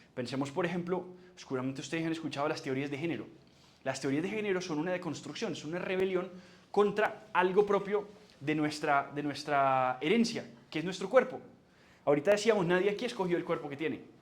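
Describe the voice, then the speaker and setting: The speech moves at a fairly quick pace with ordinary pitch variation, and the room echo is audible. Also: man, high pitch for a man. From Colombia, Barranquilla with Antioquian parents. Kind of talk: lecture.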